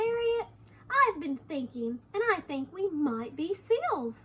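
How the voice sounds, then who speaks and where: A woman does a put-on character voice, squeaky and extremely high in pitch. She talks at a fairly slow pace with very wide pitch swings. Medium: read story. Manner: earnest, enthusiastic.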